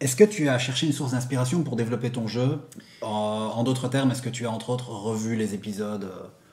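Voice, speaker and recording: A very fast, somewhat breathy male voice of medium pitch with ordinary pitch variation. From Belgium. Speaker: YouTuber, figure collector channel host. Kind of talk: casual interview.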